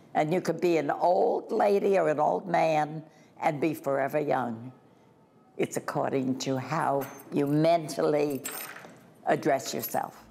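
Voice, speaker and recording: A woman with a very deep, low pitch talks at a fairly slow pace, with ordinary pitch variation, very even loudness, and long, frequent pauses. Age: 80s+. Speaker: retirement community resident. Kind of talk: interview answer. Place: home room. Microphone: lapel.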